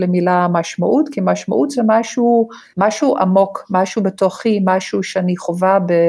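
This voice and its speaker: A woman with a medium pitch speaks with a non-native accent. Her pace is moderate and her pitch variation ordinary. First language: not Hebrew (speaking Hebrew). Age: 60s. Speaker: gerontology lecturer and social worker. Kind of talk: interview.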